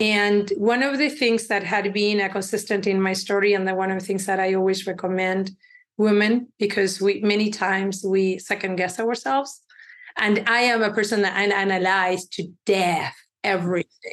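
With a Spanish accent, a woman speaks at a medium pitch, keeping her intonation fairly even and her loudness very even. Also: moderate pace. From Uruguay. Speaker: tech company CEO. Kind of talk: interview.

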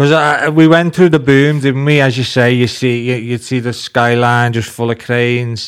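With a Liverpool accent, the speaker talks with hardly any pauses and fairly even intonation. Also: man, medium pitch for a man, moderate pace. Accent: Scouse (Liverpool). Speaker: podcast host. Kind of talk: casual chat.

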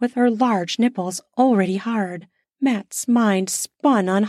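Plain reading aloud with ordinary pitch variation comes over a quiet background.

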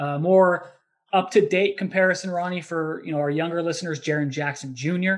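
A man with a normal speaking voice, fairly even intonation and a fairly quick pace. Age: 30s. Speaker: basketball podcast host. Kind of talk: casual sports analysis chat.

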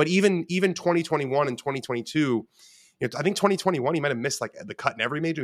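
In an American accent, a man talks at a very fast pace with ordinary pitch variation. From US West Coast, West Los Angeles. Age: 20s. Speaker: sports journalist. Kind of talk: podcast interview.

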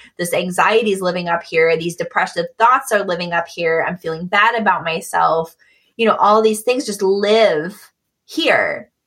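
With an American accent and an unremarkable speaking voice, a woman talks at a moderate pace, her medium pitch showing ordinary pitch variation. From US Midwest, Michigan. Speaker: multimedia artist and graphic designer. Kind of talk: casual interview.

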